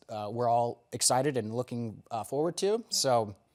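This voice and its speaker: An ordinary speaking voice from a man, medium in pitch and fairly slow in pace, in a very clean recording with a silent background. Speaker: stage actor in a live radio play. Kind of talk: interview answer.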